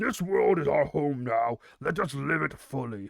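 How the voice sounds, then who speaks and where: A man puts on a character voice pitched fairly high. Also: moderate pace. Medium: read story. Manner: authoritative.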